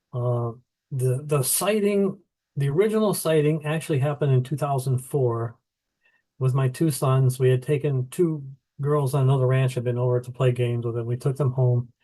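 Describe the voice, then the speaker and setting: Speaking at a moderate pace with an American accent, a man uses a medium pitch, ordinary pitch variation and a somewhat breathy voice. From US Midwest (Illinois). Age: 70s. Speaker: author. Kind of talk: interview.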